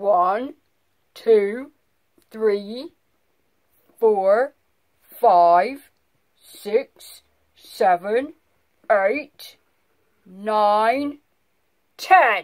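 In a booming, cartoonish character voice, a female-sounding speaker with a fairly high pitch moves at a very slow pace with long, frequent pauses. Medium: puppet.

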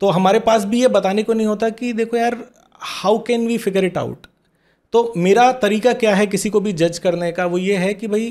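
Against a quiet background, a man with a high-pitched voice talks at a moderate pace with fairly even intonation. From small-town India. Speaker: corporate trainer and mentor; corporate trainer. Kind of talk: podcast interview. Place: studio. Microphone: studio mic.

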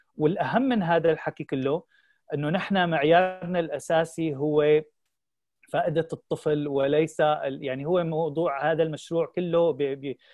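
In an unremarkable speaking voice, a man talks at a moderate pace with fairly even intonation, the sound dry with no echo and the background quiet. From Syria. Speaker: founder of a children's channel; interview guest. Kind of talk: interview. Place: home room. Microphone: video call.

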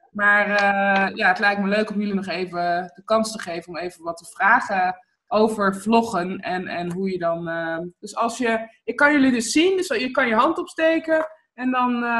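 A woman talks at a moderate pace with lively intonation and big swings in loudness. Light background noise can be heard. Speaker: online video coach and interviewer. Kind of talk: casual interview. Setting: video call. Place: home room. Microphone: webcam.

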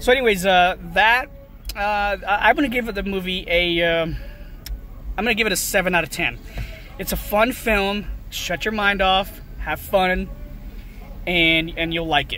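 In a raised, projected voice at a fairly slow pace, with long, frequent pauses and ordinary pitch variation, the speech sounds dry with no echo while faint music plays in the background. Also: man. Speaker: movie vlogger. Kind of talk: casual vlog chat. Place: car. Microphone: phone near.

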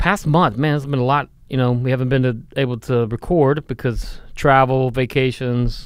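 Against a quiet background with a dry sound and no echo, a man of medium pitch talks at a moderate pace with hardly any pauses and fairly even intonation. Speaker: podcast co-host. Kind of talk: casual chat. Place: studio. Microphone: studio mic.

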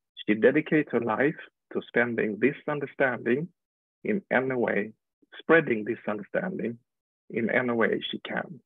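With a Swedish accent, a man speaks at a moderate pace using lively intonation and long, frequent pauses. The sound is dry with no echo over a quiet background. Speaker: webinar host. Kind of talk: guest introduction. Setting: video call. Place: home room. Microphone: earbuds.

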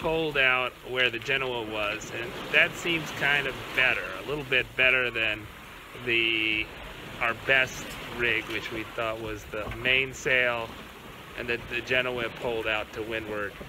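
Noticeable background noise beneath speech at a fairly slow pace. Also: man, fairly even intonation. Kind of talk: casual vlog chat. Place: boat. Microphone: phone near.

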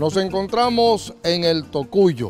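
Faint music plays behind a man speaking at a very slow pace. His pitch varies in an ordinary way, and the sound is dry with no echo. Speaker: TV farm program host. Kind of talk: TV presenter intro. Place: farm machine. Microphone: handheld.

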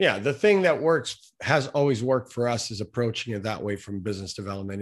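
Speaking at a fairly quick pace with lively intonation, a man uses a normal speaking voice at a medium pitch. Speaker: podcast host and marketing agency owner. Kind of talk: interview conversation.

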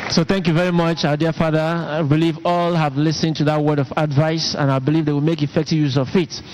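A man talks very fast with hardly any pauses, at a fairly high pitch, in a flat monotone with very even loudness. Background noise is noticeable. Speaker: church interviewer. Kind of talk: interview questions.

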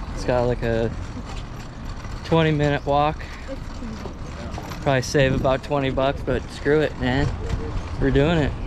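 With long, frequent pauses, a man speaks in monotone, flat intonation over noticeable background noise. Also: moderate pace, dry sound with no echo. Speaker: travel vlogger. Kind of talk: casual vlog chat. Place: street. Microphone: phone near.

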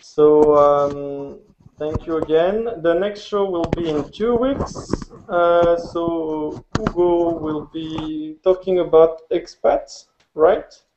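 Noticeable background noise surrounds a man with a French accent. He speaks very slowly at a high pitch, with ordinary pitch variation. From France. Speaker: podcast host and amateur photographer; show co-host. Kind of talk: casual chat. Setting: video call. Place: home room. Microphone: webcam.

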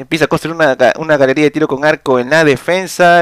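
Over a quiet background, a man talks in an animated tone, the sound dry with no echo. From Peru. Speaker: gaming streamer and tournament caster; gaming streamer. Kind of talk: live game commentary. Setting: live stream.

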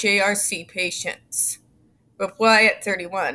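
A woman's bright, sharp tone. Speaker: YouTube commentator. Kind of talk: reading aloud court documents with commentary. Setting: home, recording alone. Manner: informal, sarcastic. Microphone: webcam.

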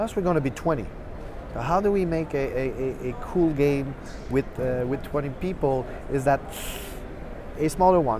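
With long, frequent pauses, a man with a fairly high voice talks at a fairly slow pace and ordinary pitch variation, the sound dry with no echo but carrying noticeable background noise. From Quebec. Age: 40s. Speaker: game developer. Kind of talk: casual chat. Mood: relaxed, smiling. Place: hall.

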